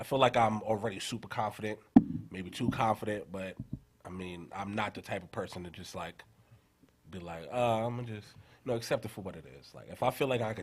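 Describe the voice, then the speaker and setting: A New York accent from a man, medium in pitch, very fast, with lively intonation. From New York (Queens). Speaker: rapper. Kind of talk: radio interview.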